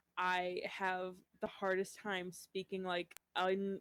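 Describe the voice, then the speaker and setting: Her pitch sits in the medium range for a woman. She speaks at a very slow pace in a flat monotone. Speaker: podcast co-host, writer. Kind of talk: casual chat. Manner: weird pauses to collect thoughts.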